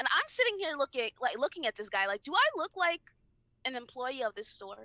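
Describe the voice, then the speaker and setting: A woman's high, bright, sharp voice, raised and projected, animated and fairly quick, with very wide pitch swings and a dry, close sound with no echo. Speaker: podcast co-host. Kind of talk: casual chat.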